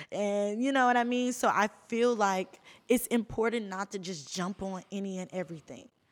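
A woman talks in an ordinary speaking voice at a moderate pace and medium pitch, with ordinary pitch variation. The recording is very clean, with a silent background. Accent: American. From Houston, Texas. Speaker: influencer and modeling agency owner. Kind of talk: casual chat.

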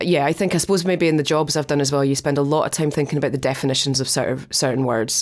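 A Scottish accent at very even loudness and a very fast pace. Intonation stays fairly even, with hardly any pauses. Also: woman, very deep, low pitch for a woman. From Dundee, Scotland. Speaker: museum director. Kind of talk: interview conversation.

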